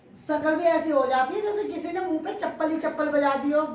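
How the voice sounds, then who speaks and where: A woman's animated tone at a moderate pace, ordinary pitch variation, with audible room echo. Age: 40s. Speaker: cooking and daily life vlogger. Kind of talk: casual vlog chat while cooking. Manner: chatty, animated.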